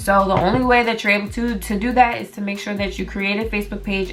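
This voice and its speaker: Music sits in the background as a woman speaks at a medium pitch. Her pace is fairly quick and her intonation monotone and flat. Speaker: business vlogger. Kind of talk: tutorial. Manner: fast; casual, filler-heavy.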